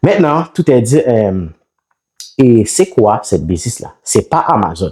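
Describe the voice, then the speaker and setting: At a very slow pace, a man with a Haitian accent speaks in a dark, mellow tone with vocal fry, very wide pitch swings and very even loudness. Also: medium pitch for a man. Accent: non-native French, Haitian Creole speaker. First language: Haitian Creole (speaking French). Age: 30s. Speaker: online seller and business YouTuber. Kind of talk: business talk to camera. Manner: halting, many fillers.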